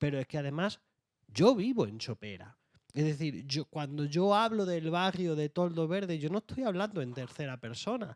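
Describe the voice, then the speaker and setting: A man with an Andalusian accent, fairly high in pitch, with very wide pitch swings at a moderate pace, in a dry, close sound with no echo on a very clean recording with a silent background. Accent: Andalusian (Jaén). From Andalusia, Jaén. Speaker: author. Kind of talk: panel discussion.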